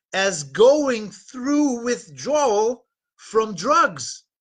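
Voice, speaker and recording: A man with a Dutch accent speaks at a very slow pace over a quiet background. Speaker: dating and relationship coach. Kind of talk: live webinar talk.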